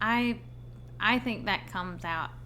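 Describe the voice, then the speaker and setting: A woman speaks at a very slow pace. Room echo is audible around her voice. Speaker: streamer discussing horror films. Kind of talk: live stream commentary. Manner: casual, thinking aloud.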